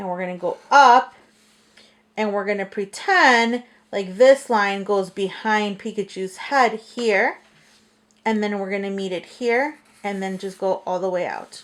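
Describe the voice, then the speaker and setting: A woman with an unremarkable speaking voice talks at medium pitch and a fairly slow pace, with ordinary pitch variation. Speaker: school art teacher. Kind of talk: drawing tutorial for kids. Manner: friendly, simple instructions with fillers.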